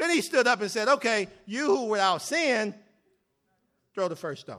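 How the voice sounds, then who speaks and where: An animated man's raised, projected voice, high-pitched, with very wide pitch swings at a fairly quick pace. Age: 40s. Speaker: lay preacher and educator. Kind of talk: sermon. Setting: church stage with congregation.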